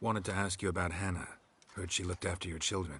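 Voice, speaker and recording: A man rattles off lines very fast in a put-on character voice with very deep, low pitch. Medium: video game. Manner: terse, clipped, flat.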